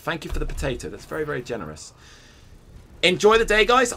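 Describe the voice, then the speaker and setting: A man with a British accent talks at a very fast pace, his pitch swinging very widely. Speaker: game streamer and tournament commentator. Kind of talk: live commentary stream. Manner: enthusiastic, chatty.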